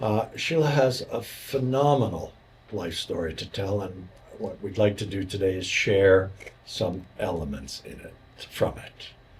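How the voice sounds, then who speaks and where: A man with a fairly low pitch talks at a fairly slow pace with lively intonation. His loudness swings widely over noticeable background noise. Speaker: podcast host. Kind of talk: interview.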